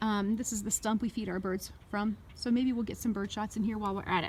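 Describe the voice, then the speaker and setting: Over noticeable background noise, a woman speaks at a fairly quick pace. Her pitch sits fairly high. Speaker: third grade teacher. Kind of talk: tutorial. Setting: outdoors. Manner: fast.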